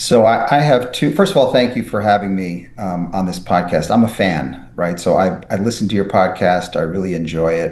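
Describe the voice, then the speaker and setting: Speaking in an American accent, a man with a very deep, low pitch and ordinary pitch variation keeps a moderate pace amid audible room echo. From New York City. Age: 60s. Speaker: neurosurgeon and author. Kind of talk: podcast interview. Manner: many fillers and restarts.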